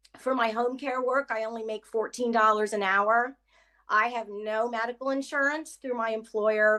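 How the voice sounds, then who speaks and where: At a moderate pace, a woman speaks with a fairly high pitch and a bright, sharp tone, ordinary pitch variation, and a quiet background. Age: 60s. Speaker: home care worker and union member. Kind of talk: personal testimony on an advocacy call. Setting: online mass call.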